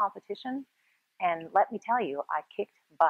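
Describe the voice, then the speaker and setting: A woman with a Canadian accent and lively intonation. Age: 40s. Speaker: personal trainer. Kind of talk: fitness tutorial. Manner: hesitant, many fillers.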